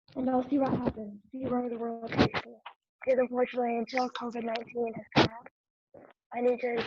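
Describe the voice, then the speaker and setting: Quiet and flat in intonation, a woman speaks in a high voice. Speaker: media program graduate, guest. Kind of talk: interview.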